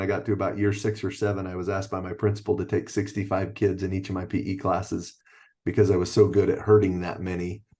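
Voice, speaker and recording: A man with an American accent talks at a very fast pace in a dark, mellow tone, somewhat breathy, with monotone, flat intonation over a quiet background. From Utah (Orem). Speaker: athletic director and PE teacher. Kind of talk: podcast interview.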